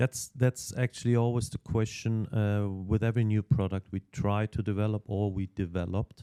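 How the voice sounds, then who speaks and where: A man with a non-native accent, fairly low pitch and a dark, mellow tone, at a moderate pace with hardly any pauses and fairly even intonation, in a dry, close sound with no echo. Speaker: cycling team technical manager. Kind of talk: podcast interview. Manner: halting, many fillers and repetitions.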